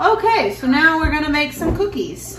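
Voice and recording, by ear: Over faint background noise, a woman speaks at a moderate pace, high in pitch with big swings and a fairly bright tone.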